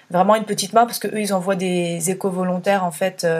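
This woman's voice is somewhat breathy, pitched medium. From France, Burgundy countryside. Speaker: eco-traveller and former consultant. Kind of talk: casual interview. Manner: hesitant, many fillers.

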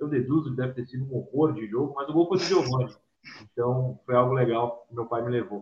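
This man's voice sits at a medium pitch, somewhat breathy, with ordinary pitch variation. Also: fairly quick pace. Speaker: sports journalist and youtuber. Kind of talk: casual chat. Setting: live stream.

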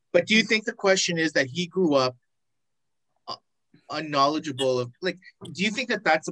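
Recorded dry and close with no echo, a man with a bright, sharp tone and lively intonation moves at a fairly quick pace, broken by long, frequent pauses. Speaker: co-host. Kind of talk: casual chat. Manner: animated, profane.

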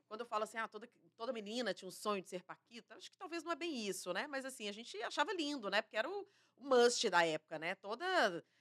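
A woman speaks at a very fast pace with a fairly high pitch. Her pitch swings very widely, and her loudness rises and falls a lot. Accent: Minas Gerais. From Minas Gerais, Brazil. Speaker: TV journalist. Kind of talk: interview conversation.

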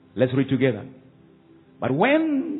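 Over music in the background, a man talks at a fairly slow pace in an animated tone with ordinary pitch variation. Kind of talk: sermon. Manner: animated, call-and-response preaching with rising exhortation; warm, earnest, teacherly tone.

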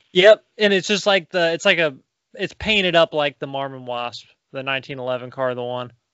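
With an unremarkable speaking voice, a man talks at a moderate pace in a fairly high pitch for a man, his intonation lively. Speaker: podcast co-host. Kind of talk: casual chat.

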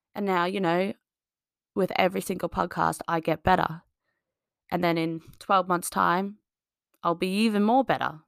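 In an Australian accent, a woman with a fairly low pitch speaks with fairly even intonation and long, frequent pauses, recorded very cleanly with a silent background and a dry, close sound with no echo. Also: moderate pace. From Australia, small farming town. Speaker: fitness coach and podcast host. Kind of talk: solo monologue podcast. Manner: casual, filler-heavy.

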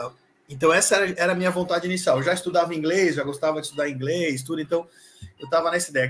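The man's voice is somewhat breathy, with ordinary pitch variation. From Brazil, Santa Catarina (Florianópolis). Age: 40s. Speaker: sales executive. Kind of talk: interview. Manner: casual.

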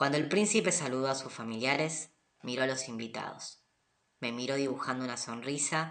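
This is a natural reading voice. The words are read aloud plainly.

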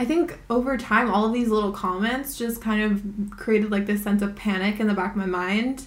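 A fairly high-pitched woman at a moderate pace with hardly any pauses and fairly even intonation, with audible room echo and noticeable background noise. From Hawaii. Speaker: podcast co-host. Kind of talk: casual chat.

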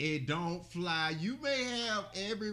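A man with an Alabama accent speaks in an animated tone, with ordinary pitch variation. Audible room echo surrounds his voice. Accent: US South (Alabama). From Birmingham, Alabama. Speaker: podcast co-host. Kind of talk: casual chat.

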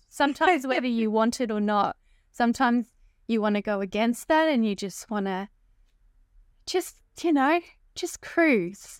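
A woman with an Australian accent, fairly high in pitch and fairly slow in pace, on a very clean recording with a silent background and a dry, close sound with no echo. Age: 30s. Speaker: podcast host and eyebrow tattoo business owner. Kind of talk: casual interview chat. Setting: hotel room. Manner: animated.

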